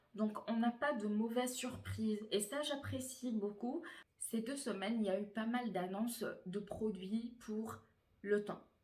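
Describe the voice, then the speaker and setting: A somewhat breathy woman talks very slowly at a fairly high pitch, her intonation fairly even. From Tunisian heritage, France. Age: 20s. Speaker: beauty YouTuber. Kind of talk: casual talk to camera.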